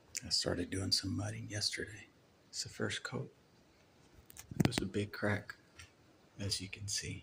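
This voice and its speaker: Amid noticeable background noise, a man speaks quietly at a moderate pace with long, frequent pauses. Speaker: painting and drywall contractor. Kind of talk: casual tutorial vlog. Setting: indoors in an office building.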